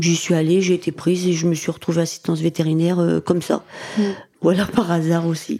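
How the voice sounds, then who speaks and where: A woman talks at a fairly quick pace in a fairly low pitch. Her intonation is monotone and flat, her loudness very even. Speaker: comedian. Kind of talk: interview.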